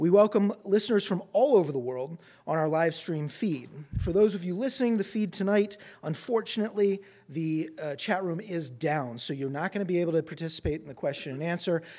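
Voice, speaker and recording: A dark, mellow tone with lively intonation moves at a fairly quick pace on a very clean recording with a silent background. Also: man, high pitch for a man. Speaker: event host. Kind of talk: formal introduction. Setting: stage with audience. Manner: halting, filler words.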